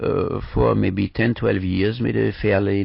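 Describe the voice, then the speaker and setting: With ordinary pitch variation, a man talks in a non-native accent. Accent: foreign. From Vienna, Austria. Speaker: performer. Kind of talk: radio interview. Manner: hesitant, many fillers.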